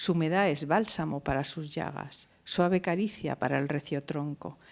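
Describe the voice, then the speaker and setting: This woman has a very deep, low pitch with vocal fry. She keeps a moderate pace and ordinary pitch variation. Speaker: university professor. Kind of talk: poetry reading.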